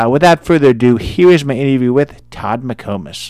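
A man with a Midwestern American accent talks at a fairly quick pace with ordinary pitch variation, his voice dry and close with no echo on a very clean recording with a silent background. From Indiana. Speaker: podcast host. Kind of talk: interview.

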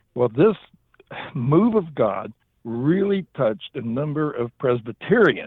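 A man with a Southern US accent. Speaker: minister. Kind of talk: interview.

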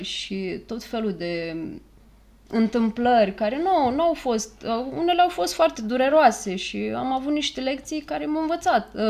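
Her voice sits at a fairly high pitch for a woman. She speaks at a fairly slow pace with very wide pitch swings. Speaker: podcast host and therapist. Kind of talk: casual chat.

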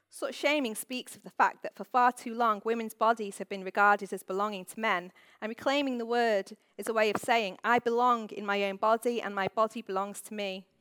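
Speaking at a fairly quick pace, a woman has a fairly high pitch and a bright, sharp tone with fairly even intonation. The recording is very clean and silent behind her, dry and close with no echo. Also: big swings in loudness. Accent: Manchester. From northern England, Manchester. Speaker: author. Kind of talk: reading aloud. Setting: stage with audience.

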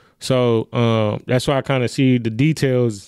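Heard in a very clean recording with a silent background, a man with an American accent speaks in a monotone, flat intonation, the sound dry and close with no echo. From Milwaukee, Wisconsin. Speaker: clothing designer. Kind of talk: casual interview.

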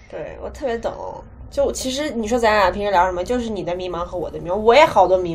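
Amid noticeable background noise and audible room echo, a woman talks very fast with big swings in loudness. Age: 20s. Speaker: podcast co-host, university student. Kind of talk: casual chat.

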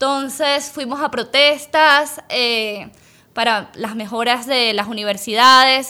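A bright, sharp female voice, high in pitch, with ordinary pitch variation. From Venezuela, Caracas. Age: young. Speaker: dentist and business owner. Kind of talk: interview.

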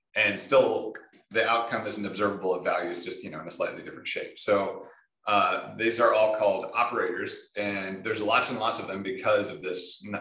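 Audible room echo surrounds a man who speaks at a moderate pace with big swings in loudness. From Michigan. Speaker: software engineer, open-source project lead. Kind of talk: casual interview.

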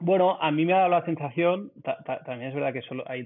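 A man's voice with ordinary pitch variation. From Barcelona, Spain. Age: 30s. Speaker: restaurant group founder. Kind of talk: interview. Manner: halting, many repetitions.

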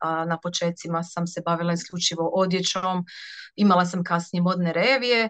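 A woman's normal speaking voice, fairly low-pitched, with fairly even intonation at a moderate pace. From southern Dalmatia, Croatia (Ploče). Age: 30s. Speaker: seamstress and small business owner. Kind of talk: interview.

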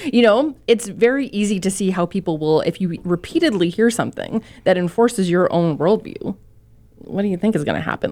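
In a Canadian accent, a woman talks at a fairly quick pace with lively intonation and a medium pitch. Her tone is dark and mellow, and the recording is very clean with a silent background. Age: 30s. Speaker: newspaper columnist, guest co-host. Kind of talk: casual chat. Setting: studio.

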